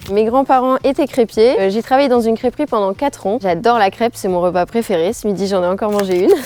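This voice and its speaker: Over noticeable background noise, a woman with a fairly high pitch talks at a very fast pace with hardly any pauses, her pitch varying in an ordinary way and the sound dry and close with no echo. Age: 20s. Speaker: student entrepreneur. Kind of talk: promotional interview testimony.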